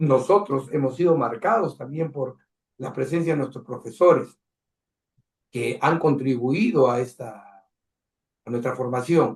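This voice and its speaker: A somewhat breathy man of medium pitch at a fairly slow pace, with ordinary pitch variation and long, frequent pauses. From Peru. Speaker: cultural program host. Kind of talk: interview.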